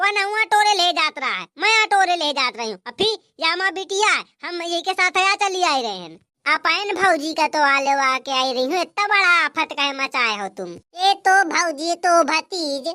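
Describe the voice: Cartoonish character voice of a woman, extremely high in pitch, with lively intonation at a moderate pace.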